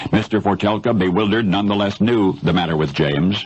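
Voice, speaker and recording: Noticeable background noise behind a man with an American accent. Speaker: radio broadcaster. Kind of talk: radio news commentary storytelling.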